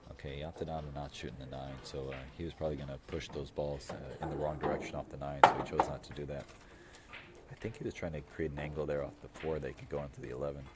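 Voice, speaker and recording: A man talks very fast in a flat monotone with a very deep, low voice. Noticeable background noise runs underneath. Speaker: pool match commentator. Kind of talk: live commentary. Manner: halting, many fillers.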